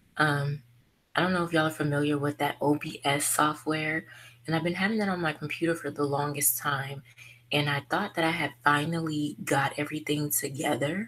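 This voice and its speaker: A woman's voice, very deep and low in pitch, keeps a fairly even intonation. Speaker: beauty vlogger. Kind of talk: casual chat. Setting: livestream video call. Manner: monotone; relaxed.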